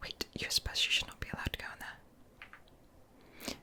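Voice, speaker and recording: Someone is whispering at a moderate pace, with noticeable background noise behind them. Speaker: ASMR creator playing a visual novel. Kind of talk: whispered game playthrough reading dialogue.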